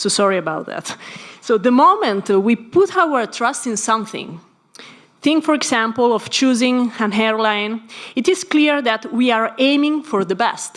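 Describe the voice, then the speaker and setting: A woman with an Italian accent, fairly high in pitch, with lively intonation at a fairly slow pace. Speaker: philosophy scholar panelist. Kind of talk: conference talk. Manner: formal.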